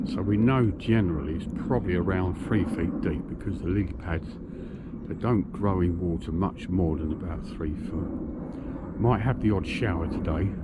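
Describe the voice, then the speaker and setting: With noticeable background noise and audible room echo, a man with a very deep, low voice speaks at a moderate pace using lively intonation. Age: 60s. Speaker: fishing vlogger. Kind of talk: casual vlog talk to camera. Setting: outdoors by a lake. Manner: cheerful, chatty.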